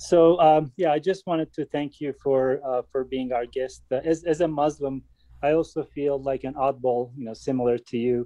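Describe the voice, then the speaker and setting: A man with a Turkish accent speaks at a moderate pace and a fairly high pitch, his tone dark and mellow and his intonation fairly even, in a dry, close sound with no echo. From Turkey. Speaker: audience member. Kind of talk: audience question. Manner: halting.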